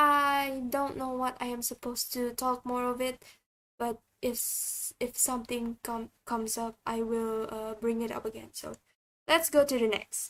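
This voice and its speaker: In an Indonesian accent, a woman speaks at a fairly slow pace and a high pitch. Her intonation is monotone and flat. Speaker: vtuber streamer. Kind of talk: casual livestream chat. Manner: halting, many fillers and restarts.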